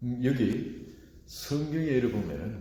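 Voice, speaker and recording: Audible room echo hangs around a man's voice. He talks at medium pitch and a very slow pace. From rural South Korea. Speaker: pastor. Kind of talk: sermon.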